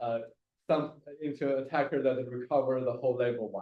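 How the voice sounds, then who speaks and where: A man speaks at a moderate pace. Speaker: computer science researcher. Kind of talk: technical seminar talk. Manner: halting, many fillers.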